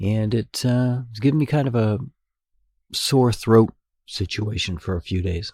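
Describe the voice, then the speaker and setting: The speaker goes at a fairly slow pace, with long, frequent pauses and ordinary pitch variation. The voice is somewhat breathy, and the sound is dry and close with no echo. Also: man, medium pitch for a man. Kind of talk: solo podcast talk.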